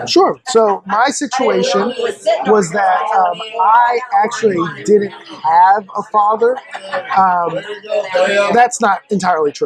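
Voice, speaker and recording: Against noticeable background noise, a man with a high pitch talks at a very slow pace, leaving long, frequent pauses. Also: ordinary pitch variation. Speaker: podcast guest. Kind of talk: casual interview chat.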